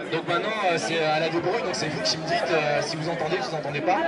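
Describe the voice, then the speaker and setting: Crowd noise fills the background. A man talks at a very fast pace. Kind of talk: speech to a crowd. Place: street. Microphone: camera far.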